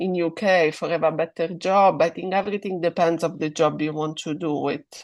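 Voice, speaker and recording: In a strong Italian accent, a woman talks at a moderate pace against a quiet background. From Italy. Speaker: guest speaker on English and careers. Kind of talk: online webinar discussion.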